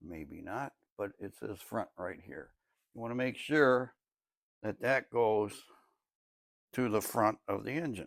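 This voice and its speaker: A man speaks at a fairly slow pace with long, frequent pauses, vocal fry, a medium pitch, lively intonation and big swings in loudness, on a very clean recording with a silent background. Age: 70s. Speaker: DIY car mechanic video host. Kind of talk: tutorial. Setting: home garage. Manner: casual, conversational.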